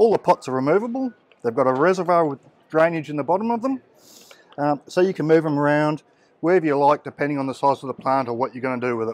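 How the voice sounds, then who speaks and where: A man talks at a very fast pace with ordinary pitch variation. The sound is dry, with no echo. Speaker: product seller at stand. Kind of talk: product demonstration. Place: hall. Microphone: phone near.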